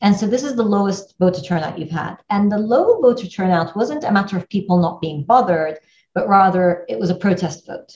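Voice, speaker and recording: A somewhat breathy woman's voice, medium in pitch, at a fairly quick pace. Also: ordinary pitch variation. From Iraq, left age six. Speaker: newspaper editor. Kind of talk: interview.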